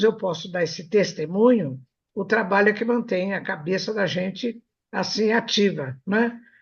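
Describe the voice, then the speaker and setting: A woman's medium-pitched, somewhat breathy voice at a fairly slow pace with lively intonation. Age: 80s+. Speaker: radio host, anatomy professor. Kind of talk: casual chat. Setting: web radio studio.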